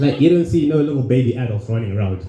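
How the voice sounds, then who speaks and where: A man talking at a fairly quick pace over music in the background. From Zimbabwe. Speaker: stand-up comedian. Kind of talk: stand-up. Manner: halting, many repeated words.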